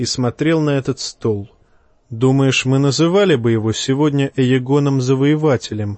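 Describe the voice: Plain reading aloud with ordinary pitch variation carries through the clip.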